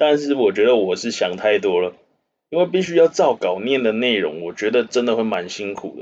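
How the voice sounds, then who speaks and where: A man at a medium pitch with lively intonation and a fairly quick pace. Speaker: finance news podcast host. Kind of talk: casual chat. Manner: halting when off script.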